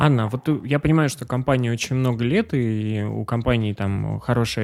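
A man talks in an ordinary speaking voice at a medium pitch. His pace is fairly slow, with ordinary pitch variation. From Pyatigorsk, southern Russia. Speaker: podcast host. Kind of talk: interview.

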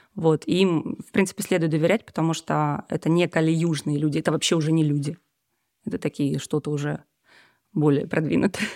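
A woman's very deep, low voice with a dark, mellow tone, fairly quick pace between long, frequent pauses, fairly even intonation, and a dry, close sound with no echo in a very clean recording over a silent background. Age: 30s. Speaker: musician and yoga teacher. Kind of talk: casual chat.

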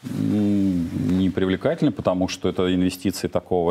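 A man's very deep, low voice with a dark, mellow tone at a moderate pace. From Soviet Union (Russia). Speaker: economist and entrepreneur. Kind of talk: heated debate. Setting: studio, live broadcast. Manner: hesitant, filler-heavy.

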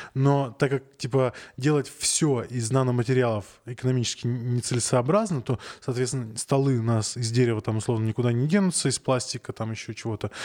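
Fairly quick delivery comes in a normal speaking voice, captured in a very clean recording with a silent background. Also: man, medium pitch for a man, ordinary pitch variation. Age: 30s. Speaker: podcast host. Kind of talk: casual chat.

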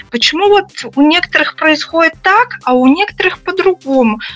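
Lively in intonation, a woman speaks at a moderate pace in a dry, close sound with no echo, though noticeable background noise is present. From Russia. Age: 40s. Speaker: psychologist. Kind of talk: interview.

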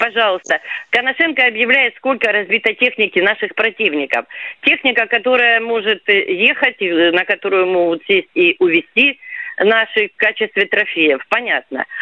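A plain, everyday voice from a woman at a fairly high pitch, moderate in pace, with lively intonation and big swings in loudness. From southern Russia, Rostov region / Kuban. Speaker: radio caller. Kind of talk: radio phone-in call.

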